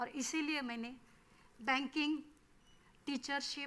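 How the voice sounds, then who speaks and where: A woman with a Marathi accent speaks at a high pitch in a raised, projected voice. Her tone is bright and sharp. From Maharashtra, Marathwada (Beed district). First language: Marathi (speaking Hindi). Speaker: forest field officer. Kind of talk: workshop talk.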